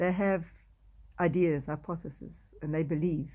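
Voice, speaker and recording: A voice with a South African accent and a dark, mellow tone speaks at a moderate pace in a very clean recording with a silent background. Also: woman. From South Africa, Afrikaans-speaking. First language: Afrikaans. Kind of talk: testimony. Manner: halting.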